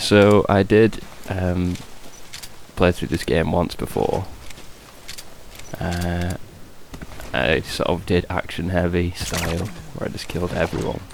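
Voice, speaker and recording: Pausing long and often, a man with a very deep, low pitch speaks at a fairly slow pace with ordinary pitch variation over noticeable background noise. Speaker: gamer. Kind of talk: casual gameplay commentary. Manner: quiet, hushed.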